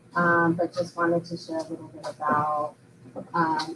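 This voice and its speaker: Over noticeable background noise, a woman with an American accent speaks at a moderate pace in a fairly low, monotone voice with flat intonation. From Upstate New York. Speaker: professor. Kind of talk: conference talk.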